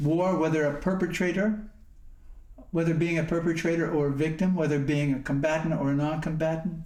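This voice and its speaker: Fairly high-pitched male speech in an American accent, at a moderate pace, with fairly even intonation and audible room echo. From US Northeast, northwest Pennsylvania. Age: 70s. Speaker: Zen monk and war veteran speaker. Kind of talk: talk to company employees. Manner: halting, with fillers and restarts.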